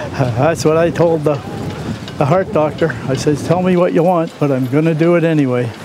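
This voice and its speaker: Noticeable background noise and audible room echo surround a man with a fairly high voice. He talks at a moderate pace with very even loudness and ordinary pitch variation. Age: 80s+. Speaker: veteran sailor, boat owner. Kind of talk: interview.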